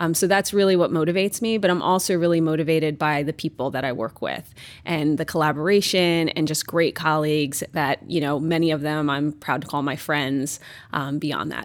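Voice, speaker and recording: A woman with a New York accent speaks in a very deep, low voice at a fairly quick pace with fairly even intonation. The recording is very clean, with a silent background. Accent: New York American. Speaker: pharmaceutical company executive. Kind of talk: interview conversation. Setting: office.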